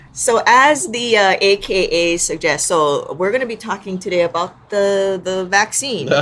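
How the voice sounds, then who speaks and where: Against noticeable background noise, a woman speaks at a medium pitch with lively intonation. Her pace is fairly slow, with hardly any pauses. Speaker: fitness and health podcast co-host. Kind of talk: casual chat.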